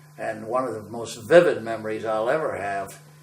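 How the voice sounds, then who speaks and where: Noticeable background noise and audible room echo surround a man with an American accent speaking at a medium pitch and a moderate pace. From western Massachusetts (Ludlow). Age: 80s+. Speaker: war veteran. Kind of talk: oral history interview. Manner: conversational with hesitations.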